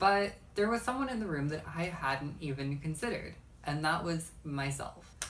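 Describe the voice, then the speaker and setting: With an American accent, a woman talks at a moderate pace in a very deep, low pitch with lively intonation, and audible echo fills the room. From Texas. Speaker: YouTuber. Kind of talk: vlog monologue.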